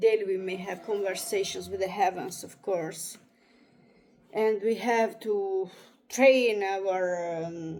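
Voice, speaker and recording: Speaking very slowly in an Italian accent, a woman keeps her intonation fairly even while her loudness swings widely. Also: medium pitch for a woman. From Italy. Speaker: astrologer. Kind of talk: reading aloud with commentary. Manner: halting.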